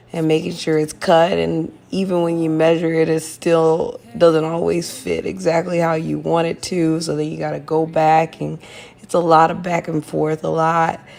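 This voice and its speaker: A woman speaks at a moderate pace in a flat monotone, with noticeable background noise. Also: fairly low pitch for a woman, hardly any pauses. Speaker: lifestyle vlogger. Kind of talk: casual voiceover chat.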